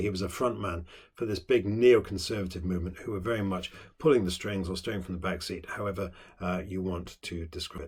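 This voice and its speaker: Somewhat breathy and at a fairly quick pace, the voice carries a British accent on a very clean recording with a silent background. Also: man. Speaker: politics teacher. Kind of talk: lecture. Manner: fast; hesitant with many fillers.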